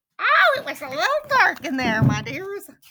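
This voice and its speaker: A woman's squeaky, put-on character voice at an extremely high pitch, with very wide pitch swings, big swings in loudness and a moderate pace. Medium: read story.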